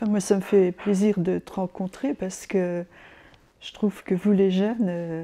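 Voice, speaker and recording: At a fairly slow pace, a woman speaks at a medium pitch in a dark, mellow tone with fairly even intonation. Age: 70s. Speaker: retired activist. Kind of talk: casual conversation. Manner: hesitant, repeats words.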